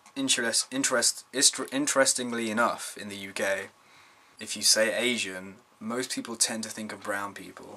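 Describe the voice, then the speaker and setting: A British accent at a moderate pace, with big swings in loudness and noticeable background noise. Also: man. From UK (British Indian). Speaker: vlogger. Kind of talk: casual vlog monologue. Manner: stumbling over words at times.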